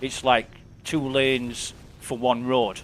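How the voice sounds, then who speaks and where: In a Yorkshire accent, a man speaks at a very slow pace. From northern England, West Yorkshire. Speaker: game streamer. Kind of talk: casual chat.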